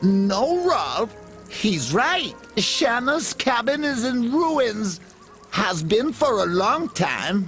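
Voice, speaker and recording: Over clear music in the background, a fairly high, put-on character voice delivers its lines at a very slow pace. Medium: game stream. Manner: good-natured, giggly.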